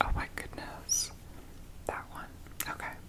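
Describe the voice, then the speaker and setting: Someone whispers at a fairly slow pace in a relaxed tone. Noticeable background noise runs underneath. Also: woman. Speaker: ASMR creator. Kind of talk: whispered ASMR ramble for sleep. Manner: whispered, soft, relaxed, chatty.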